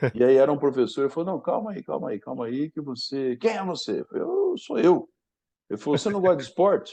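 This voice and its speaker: The voice has a dark, mellow tone, lively intonation and a very fast pace. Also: man, fairly high pitch for a man. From Brazil, Paraná (Londrina). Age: 60s. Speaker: sports training professor. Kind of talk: podcast interview storytelling.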